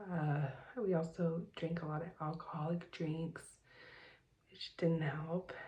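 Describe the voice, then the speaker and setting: The speaker, with an American accent, is soft-spoken and somewhat breathy, with a dark, mellow tone. The delivery is very slow and monotone, with long, frequent pauses. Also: woman, fairly low pitch for a woman. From Southern California. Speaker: vlogger. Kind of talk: personal vlog. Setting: home at night. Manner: hesitant with fillers.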